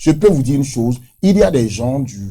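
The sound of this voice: A man talks at a moderate pace with a medium pitch. His tone is dark and mellow, and his pitch swings widely.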